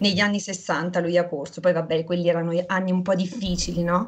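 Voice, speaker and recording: The voice belongs to a woman and sits fairly low. She talks at a fairly quick pace. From Abruzzo, central Italy. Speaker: retired professional cyclist. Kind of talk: casual interview. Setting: video call. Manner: animated. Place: kitchen. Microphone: video call.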